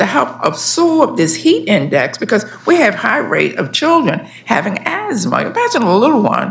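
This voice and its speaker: A woman's voice swings very widely in pitch. Noticeable background noise sits behind her. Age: 70s. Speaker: community resident testifying. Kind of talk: public testimony.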